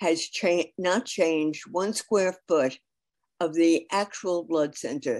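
Against a quiet background, a woman speaks very slowly at a fairly low pitch. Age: 80s+. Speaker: community member testifying at a council hearing. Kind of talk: public testimony. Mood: opposed, persuasive. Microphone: video call.

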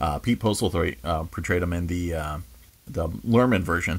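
The man speaks at a fairly quick pace. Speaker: video reviewer. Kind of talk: review commentary. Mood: enthusiastic, relaxed. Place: home room.

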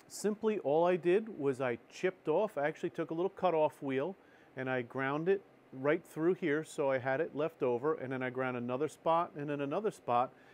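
Ordinary pitch variation and a moderate pace from a man. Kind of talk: tutorial. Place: workshop. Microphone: lapel.

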